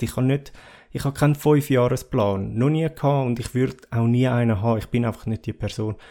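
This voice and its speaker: Fairly quick, fairly even speech from a man with a Swiss accent at medium pitch, on a very clean recording with a silent background. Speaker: podcast host. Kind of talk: solo podcast monologue. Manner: halting, many fillers.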